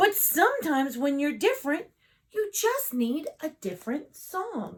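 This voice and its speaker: Using a put-on character voice, a woman speaks at a moderate pace in a high pitch. Her pitch swings are very wide. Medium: read story.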